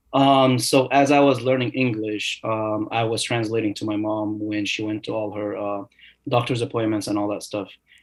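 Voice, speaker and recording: Speaking at a moderate pace, a man holds a medium pitch with fairly even intonation. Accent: Arabic. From Egypt. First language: Arabic. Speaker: new dentist. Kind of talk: podcast interview. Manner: hesitant, many fillers.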